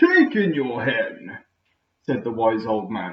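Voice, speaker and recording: Putting on a character voice, a man talks fairly slowly at a fairly high pitch. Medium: read story. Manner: calm, brief.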